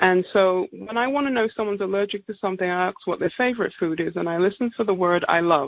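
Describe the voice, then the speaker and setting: In an English accent, a woman speaks at a very fast pace with hardly any pauses, her medium pitch showing ordinary variation. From England. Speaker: naturopathic doctor. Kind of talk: product presentation on a group call. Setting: conference call.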